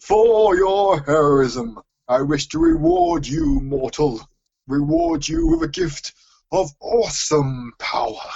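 Putting on a character voice, a man talks at a fairly slow pace in a fairly high pitch. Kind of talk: grand, formal.

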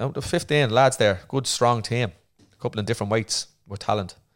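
A man talks with an Irish accent. The recording is very clean, with a silent background. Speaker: retired Olympic boxer and therapist. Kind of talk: casual interview chat.

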